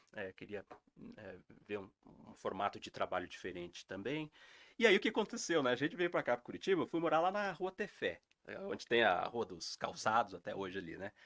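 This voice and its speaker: A man's voice swings very widely in pitch, recorded with a dry, close sound and no echo. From interior of São Paulo state (Assis). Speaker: heritage educator. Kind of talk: interview storytelling. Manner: hesitant, many fillers.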